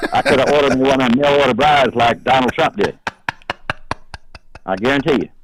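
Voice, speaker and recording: Speaking at a very fast pace yet with long, frequent pauses, a man with a fairly high pitch keeps his loudness very even and his intonation fairly even against noticeable background noise. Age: 70s. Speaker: truck owner called about his bumper sticker. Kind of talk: phone call interview.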